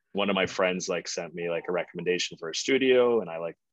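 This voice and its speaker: A man speaks at a fairly quick pace and fairly low pitch. The sound is dry and close with no echo, over a quiet background. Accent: American. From US Midwest, St. Louis. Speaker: social media creator. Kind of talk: casual chat.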